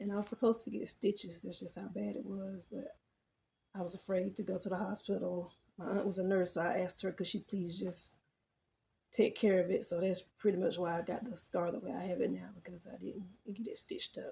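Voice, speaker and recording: A woman with a Southern US accent, medium-pitched with vocal fry, fairly quick in pace and fairly even in intonation. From US South, rural. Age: adult. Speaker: personal storyteller. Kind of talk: personal testimony. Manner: halting.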